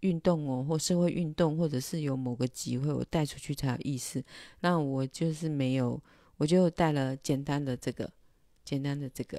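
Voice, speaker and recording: A woman with a very deep, low pitch and a dark, mellow tone speaks at a moderate pace with fairly even intonation, the sound dry with no echo. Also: quiet background. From Taiwan. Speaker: illustrator and livestreamer; livestreamer. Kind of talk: casual livestream monologue. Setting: livestream. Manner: hesitant, many filler sounds. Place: home room. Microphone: handheld.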